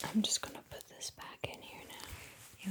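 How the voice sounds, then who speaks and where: Soft-spoken and somewhat breathy, a woman talks at a very slow pace. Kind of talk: ASMR casual chat.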